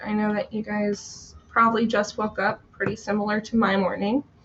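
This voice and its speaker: Noticeable background noise runs under this recording. A woman speaks at a moderate pace. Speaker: tarot reader live streamer. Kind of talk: casual live stream chat. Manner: chatty.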